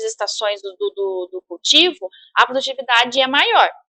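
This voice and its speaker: A woman speaks in a bright, sharp tone at a fairly high pitch, with ordinary pitch variation. The sound is dry and close, with no echo. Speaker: university professor. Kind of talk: lecture. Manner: halting, many fillers and repetitions.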